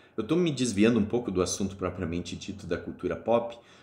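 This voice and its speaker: A somewhat breathy man at a fairly quick pace, with lively intonation and audible room echo. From Espírito Santo, Brazil (born Rio Grande do Sul). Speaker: university lecturer. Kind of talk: lecture. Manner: hesitant, many fillers.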